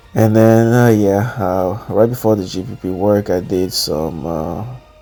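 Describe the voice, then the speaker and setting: Over noticeable background noise, the speech moves at a very slow pace with ordinary pitch variation. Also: man. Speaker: fitness vlogger and coach. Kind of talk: workout voiceover commentary. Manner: halting, many fillers.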